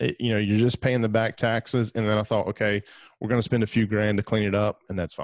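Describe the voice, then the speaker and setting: In a very clean recording with a silent background, a man with an Alabama accent speaks very fast at a fairly low pitch with fairly even intonation. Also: dry, close sound with no echo. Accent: Southern US (Alabama). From US South, northeast Alabama. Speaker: real estate investor and podcast host. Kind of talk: interview.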